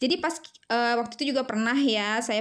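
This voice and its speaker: The background is silent and the recording very clean as a woman talks. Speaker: homemaker vlogger. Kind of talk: casual vlog narration. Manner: chatty, hesitant with fillers.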